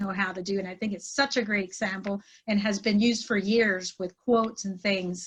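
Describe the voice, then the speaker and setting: A woman with a Pennsylvania accent and ordinary pitch variation. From Pennsylvania Dutch community, US. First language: Pennsylvania Dutch. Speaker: trainer and life coach. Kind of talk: podcast interview.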